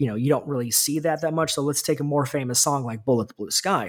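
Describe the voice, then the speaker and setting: This is a man speaking. His pitch is fairly high. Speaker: author. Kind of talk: interview. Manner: halting.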